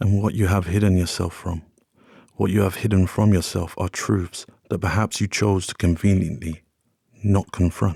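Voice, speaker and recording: Somewhat breathy speech comes at a moderate pace in a monotone, flat intonation, with a dry, close sound, no echo, and a very clean recording over a silent background. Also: man. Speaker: sleep story narrator. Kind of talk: sleep story.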